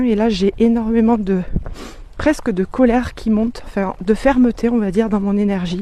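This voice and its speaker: Speaking at a very slow pace, a woman has a fairly high pitch, a dark, mellow tone and fairly even intonation. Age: 40s. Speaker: energy and business coach. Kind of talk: casual vlog sales pitch. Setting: outdoors on a walk. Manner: hesitant with many fillers.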